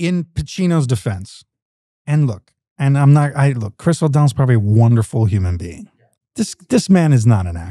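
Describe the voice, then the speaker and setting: A man with a New York accent, a medium pitch and a dark, mellow, somewhat breathy tone at a moderate pace, with very wide pitch swings, big swings in loudness and a dry, close sound with no echo. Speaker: actor. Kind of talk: casual chat.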